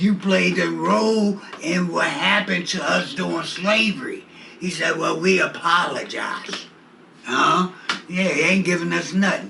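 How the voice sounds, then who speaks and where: A man's voice comes through with clear room echo and noticeable noise in the background. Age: 70s. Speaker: community activist. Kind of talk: interview. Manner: animated.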